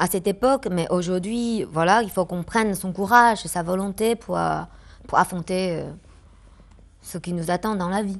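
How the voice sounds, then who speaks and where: At a fairly slow pace, a woman talks at medium pitch with ordinary pitch variation. The background is quiet. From China. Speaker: actress. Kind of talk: interview answer.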